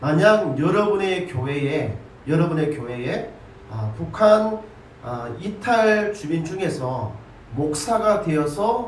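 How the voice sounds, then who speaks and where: Over noticeable background noise and audible room echo, a man talks at a very slow pace with lively intonation. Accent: Gyeongsang. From Gyeongsang region, South Korea (Ulsan, Busan). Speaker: pastor. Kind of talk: sermon.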